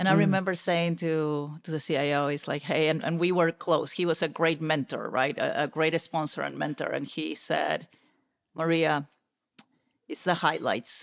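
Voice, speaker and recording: A woman with a Peruvian accent speaks at a very deep, low pitch with vocal fry. Her intonation is monotone and flat, and the background is quiet. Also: moderate pace. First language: Spanish. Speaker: corporate technology executive; podcast guest. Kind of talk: interview conversation. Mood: candid, reflective. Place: home room. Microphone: studio mic.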